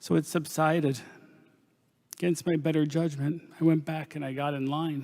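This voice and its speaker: Fairly high-pitched man with an American accent, monotone and flat intonation, moderate pace, long and frequent pauses, on a very clean recording with a silent background. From Pennsylvania coal region, US. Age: 50s. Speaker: nurse practitioner giving testimony. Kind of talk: testimony. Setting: panel discussion. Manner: formal.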